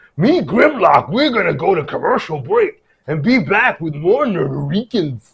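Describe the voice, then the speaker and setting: The pitch stays at a middle level. The voice is a put-on character voice. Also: moderate pace. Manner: gruff, robotic.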